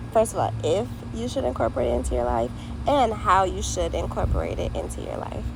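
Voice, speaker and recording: Very fast, a woman talks amid audible room echo and noticeable background noise. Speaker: vlogger. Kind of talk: casual monologue vlog. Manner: casual, stream-of-consciousness; occasional stutter.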